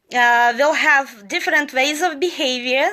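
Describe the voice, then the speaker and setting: Projecting her voice, a woman with a non-native accent speaks at a high pitch and fairly slow pace, with a bright, sharp tone and ordinary pitch variation. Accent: foreign. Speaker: motivational live streamer. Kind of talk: motivational talk. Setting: live social media stream.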